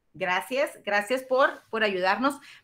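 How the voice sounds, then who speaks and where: Speaking at a moderate pace, a woman uses a high pitch, lively intonation, and an animated tone. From Mexico, Los Mochis, Sinaloa; Sinaloa, Mexico. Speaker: university teacher. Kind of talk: online class lecture. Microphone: webcam.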